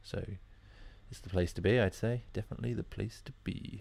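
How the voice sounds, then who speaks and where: In a very clean recording with a silent background, a man with an English accent speaks in a dark, mellow tone, somewhat breathy, with ordinary pitch variation. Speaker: music podcast host. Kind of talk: casual presenting.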